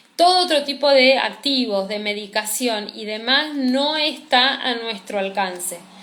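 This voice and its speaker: A woman's high-pitched voice at a fairly slow pace, with lively intonation, hardly any pauses and noticeable background noise. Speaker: cosmetology teacher. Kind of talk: live-streamed class.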